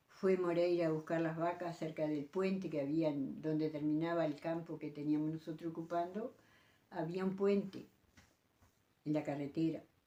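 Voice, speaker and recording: Fairly slow in pace, this dark, mellow tone carries ordinary pitch variation. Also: woman, long, frequent pauses. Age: 80s+. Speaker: elderly rural woman recalling old times. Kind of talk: interview storytelling. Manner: halting, with many repetitions.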